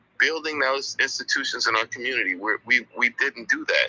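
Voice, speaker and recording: The sound is dry and close, with no echo, yet noticeable background noise is present. A man talks at a moderate pace. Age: 60s. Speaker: community activist. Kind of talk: casual chat. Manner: halting.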